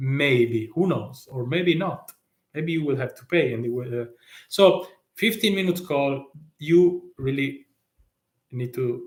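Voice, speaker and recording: With an Italian accent, a man speaks somewhat breathily at a fairly slow pace, his medium pitch showing ordinary variation. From Italy. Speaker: tax consultant. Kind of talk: live stream talk. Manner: halting, many fillers.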